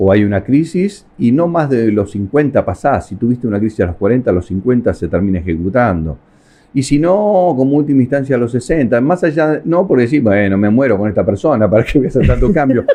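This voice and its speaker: Using very wide pitch swings, a man with a medium pitch speaks at a fairly quick pace. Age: 60s. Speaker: family constellation therapist. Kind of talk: interview. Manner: halting.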